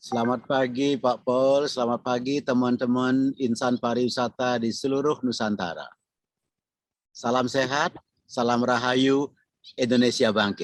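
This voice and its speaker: A man speaks at a medium pitch and a fairly slow pace, in a flat monotone with very even loudness. The sound is dry and close, with no echo. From Bali. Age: 60s. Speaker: tourism professor, retired government official. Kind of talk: podcast interview.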